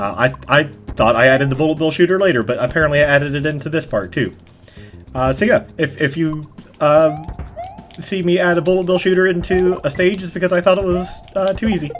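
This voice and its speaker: A man mumbles at a fairly quick pace, his pitch fairly high with ordinary variation. Music plays in the background. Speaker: gaming youtuber. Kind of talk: let's play commentary. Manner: fast; mumbling.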